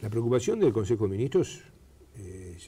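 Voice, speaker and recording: A man speaks at a medium pitch, somewhat breathy, with a dark, mellow tone. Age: 60s. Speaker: government minister. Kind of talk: TV interview. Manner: hesitant with fillers.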